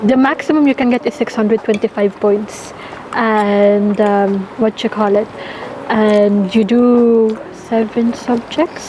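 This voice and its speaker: Noticeable background noise sits behind a woman speaking at a very slow pace and a fairly high pitch. Her loudness stays very even, and her pitch varies in an ordinary way. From Ireland. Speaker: nursing student. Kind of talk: interview; vlog narration. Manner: code-switching Taglish.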